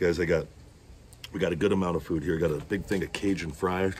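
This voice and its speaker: A man with a very deep, low pitch talks at a very fast pace in a monotone, flat intonation. Light background noise is present. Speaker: food vlogger. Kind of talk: casual vlog chat. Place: garden. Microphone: phone near.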